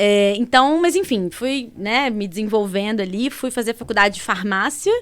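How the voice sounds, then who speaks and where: In a Minas Gerais accent, a woman with a fairly high voice speaks with big swings in loudness. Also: ordinary pitch variation, moderate pace. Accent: Mineiro. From Brazil, Minas Gerais (Belo Horizonte). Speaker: entrepreneur, pharmacist. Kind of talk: podcast interview.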